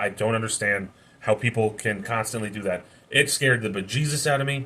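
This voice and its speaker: A loud man's voice, fairly low in pitch, with a bright, sharp tone and ordinary pitch variation. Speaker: youtuber sharing life story, former prisoner. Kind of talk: personal testimony monologue. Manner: halting, self-correcting.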